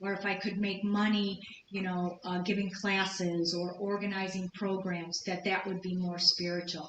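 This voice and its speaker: Audible room echo surrounds a woman speaking at a medium pitch in a flat monotone. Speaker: lecturer. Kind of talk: lecture.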